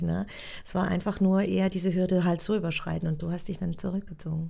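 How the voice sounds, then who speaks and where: A woman talks at a very fast pace. Her voice sits fairly low in pitch, with a dark, mellow tone. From Switzerland. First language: Swiss German (speaking German). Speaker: actress. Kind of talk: casual interview. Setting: acting school in Zurich.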